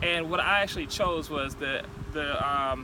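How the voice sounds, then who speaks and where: With an American accent, a man talks over noticeable background noise. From North Carolina, near Fayetteville. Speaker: entrepreneur vlogger. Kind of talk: motivational vlog talk. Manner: halting, stuttering.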